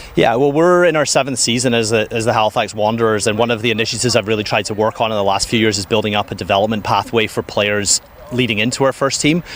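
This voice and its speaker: Over noticeable background noise, a man talks at a very fast pace with hardly any pauses, his medium pitch showing ordinary variation and his loudness very even. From United Kingdom. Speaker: football club sporting director. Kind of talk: pitchside interview.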